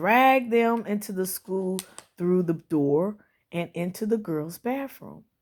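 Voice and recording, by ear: The setting is silent behind the voice. A passage is read out in a natural-sounding way.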